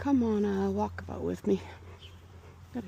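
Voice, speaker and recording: A woman speaks softly in a dark, mellow tone. Her intonation is monotone and flat. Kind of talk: ASMR garden vlog, thinking out loud. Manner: soft-spoken.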